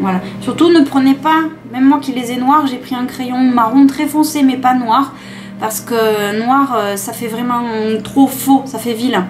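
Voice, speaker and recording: With music in the background, a woman speaks in a southern French accent at a high pitch, a fairly slow pace and fairly even intonation. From southern France. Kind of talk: makeup tutorial talk to camera. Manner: casual, chatty.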